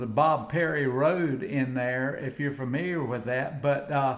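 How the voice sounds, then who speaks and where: A man with an American accent, fairly high-pitched, at a moderate pace with fairly even intonation and audible room echo. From US South, Outer Banks of North Carolina. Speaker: Vietnam veteran and commercial fisherman. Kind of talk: interview. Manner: halting.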